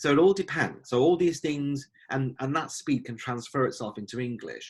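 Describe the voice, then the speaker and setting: A man speaks with a British accent at a fairly high pitch. His voice is somewhat breathy and moves at a moderate pace. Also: ordinary pitch variation. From United Kingdom. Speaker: life coach. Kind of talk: podcast teaching talk.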